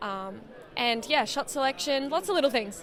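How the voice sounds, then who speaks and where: Lively intonation marks this woman's speech. She has an Australian accent and a moderate pace. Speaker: professional boxer. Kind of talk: interview. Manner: hesitant, many fillers.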